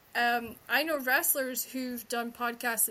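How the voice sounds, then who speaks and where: A woman speaks with a Scottish accent at a high pitch. Her tone is bright and sharp. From Scotland. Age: 30s. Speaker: podcast host and romance author. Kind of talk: casual chat. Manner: fast talker.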